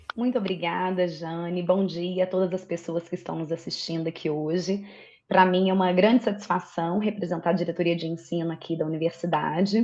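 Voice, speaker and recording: Fairly low in pitch, a woman speaks with a dark, mellow tone and fairly even intonation. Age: 40s. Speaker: university teaching director. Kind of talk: formal opening speech.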